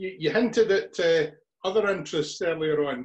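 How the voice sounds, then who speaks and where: A man with a Scottish accent at a moderate pace against a quiet background. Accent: Scottish (Ayrshire). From Scotland. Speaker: podcast host. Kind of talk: interview. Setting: video call. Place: home room. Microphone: webcam.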